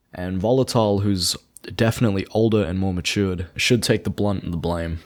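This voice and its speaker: On a very clean recording with a silent background, a man with a normal speaking voice talks at a fairly quick pace, his fairly low pitch carrying fairly even intonation. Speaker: commentary YouTuber. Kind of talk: drama commentary narration.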